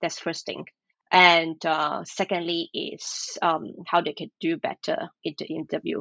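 Vocal fry runs through this fairly slow delivery, which keeps a fairly even intonation. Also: woman, fairly low pitch for a woman. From Malaysia. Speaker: recruiter. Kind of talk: interview.

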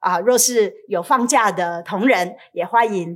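A woman's medium-pitched voice with a Taiwanese accent and lively intonation. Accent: Taiwanese Mandarin. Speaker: pastor. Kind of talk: sermon.

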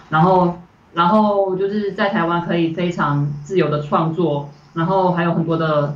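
A woman speaks at a fairly slow pace in a somewhat breathy, fairly low voice. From Malaysia. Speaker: animation director. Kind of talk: interview. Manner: hesitant, many fillers.

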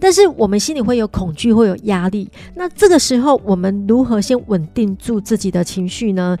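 With a dark, mellow tone, a woman speaks at a moderate pace with hardly any pauses. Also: medium pitch for a woman, lively intonation. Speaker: podcast host. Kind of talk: casual interview chat.

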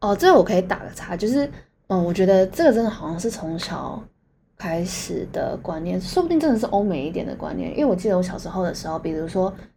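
At a very fast pace, a woman with a medium-pitched, somewhat breathy voice and a dark, mellow tone speaks with ordinary pitch variation and big swings in loudness. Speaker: podcast co-host. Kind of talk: casual chat.

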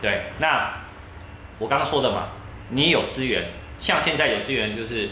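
At a moderate pace with long, frequent pauses, a man speaks at a medium pitch with ordinary pitch variation, over noticeable background noise. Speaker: tech commentator and radio host. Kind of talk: interview. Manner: varied intonation.

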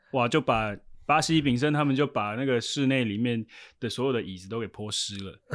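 Over a silent background in a very clean recording, a normal speaking voice moves at a fairly quick pace with ordinary pitch variation and big swings in loudness. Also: man, medium pitch for a man. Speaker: sports team interpreter. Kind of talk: casual interview.

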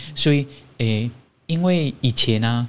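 A man with a Malaysian accent talks at a fairly slow pace. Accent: Malaysian Chinese. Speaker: Buddhist monastic. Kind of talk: interview. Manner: cheerful.

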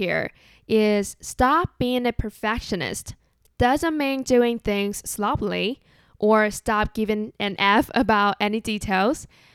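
A woman with a Chinese accent speaks very slowly at a fairly high pitch with ordinary variation, the recording very clean with a silent background and a dry, close sound with no echo. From Taiwan. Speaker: podcast host. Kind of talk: solo podcast monologue.

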